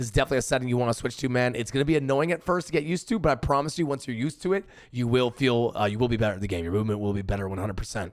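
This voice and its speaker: Pitch variation is ordinary. The recording is very clean, with a silent background. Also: man. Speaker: gaming streamer. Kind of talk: tutorial. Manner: stuttering, many fillers; casual.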